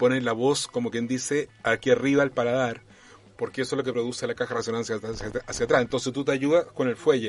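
A man talks at a very fast pace. His pitch is medium, and his intonation is monotone and flat. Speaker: actor and puppeteer. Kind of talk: casual chat.

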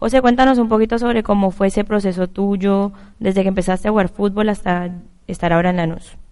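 Speaking at a very fast pace, a woman with a medium pitch and a dark, mellow tone keeps her loudness very even and her intonation fairly even. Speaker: sports radio co-host. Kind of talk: sports talk show and interview.

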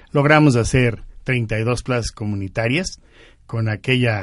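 A man speaks very slowly at a medium pitch with ordinary pitch variation against a quiet background. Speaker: service club member. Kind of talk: radio interview.

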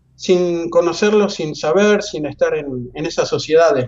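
A man with a high voice at a fairly slow pace. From Argentina, La Plata. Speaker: anthropologist and professor. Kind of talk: interview. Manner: halting, many repetitions and fillers.

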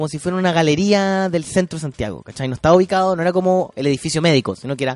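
Speaking very fast, a man with a Chilean accent uses a high pitch. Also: dry, close sound with no echo. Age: young. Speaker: podcast host and comedian. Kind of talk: casual chat. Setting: studio. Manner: halting.

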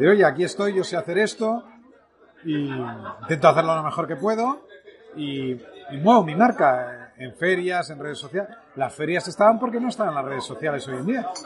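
The voice moves at a moderate pace, with very wide pitch swings and big swings in loudness. There is noticeable background noise. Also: man, high pitch for a man. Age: 40s. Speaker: podcast host, entrepreneur. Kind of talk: casual interview over lunch. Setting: restaurant.

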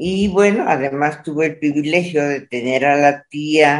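The intonation is lively. The pace is very slow. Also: woman. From Mexico, Monterrey (northern Mexico). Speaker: painter and food writer. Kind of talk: interview.

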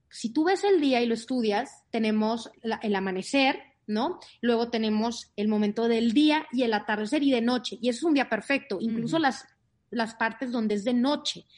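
A woman at a fairly high pitch, with ordinary pitch variation, very even loudness and a moderate pace, against a quiet background. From Monterrey, northern Mexico. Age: 30s. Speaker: author and life coach. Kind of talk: interview.

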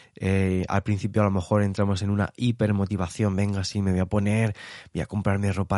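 Fairly low in pitch, a man speaks at a fairly quick pace in a monotone, flat intonation, the sound dry and close with no echo against a quiet background. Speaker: psychologist podcast host. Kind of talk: solo podcast monologue. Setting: early morning home recording. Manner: hesitant with fillers.

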